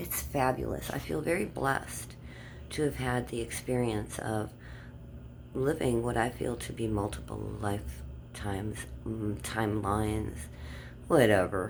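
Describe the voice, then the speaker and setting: A woman's very deep, low voice with vocal fry and very wide pitch swings, at a fairly slow pace full of long, frequent pauses, with audible room echo. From Germany. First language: German. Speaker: vlogger. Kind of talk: casual monologue. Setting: outdoors in the dark.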